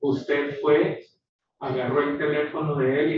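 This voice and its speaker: Pitched fairly high, a man talks at a fairly quick pace. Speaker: court interpreter. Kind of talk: court interpreting. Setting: courtroom. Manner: quiet. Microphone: far from the mic, wearing a mask.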